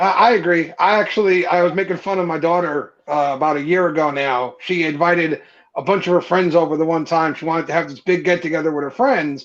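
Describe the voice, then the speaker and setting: A man with a strong New Jersey accent talks at a very fast pace, with hardly any pauses. His pitch is high, with ordinary variation. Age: 30s. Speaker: podcast guest, beard content creator. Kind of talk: casual chat.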